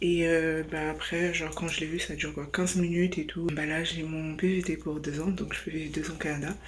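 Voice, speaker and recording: A woman's very deep, low voice, monotone and flat, at a moderate pace with hardly any pauses, amid audible room echo and noticeable background noise. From France. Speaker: travel vlogger. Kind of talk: casual vlog. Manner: hesitant, many fillers.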